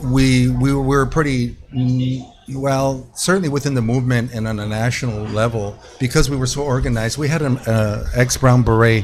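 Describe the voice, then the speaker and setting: Over music in the background, a voice with an American accent moves at a moderate pace with fairly even intonation. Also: man, medium pitch for a man. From US West Coast (East Los Angeles, California). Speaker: mariachi musician. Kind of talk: casual chat.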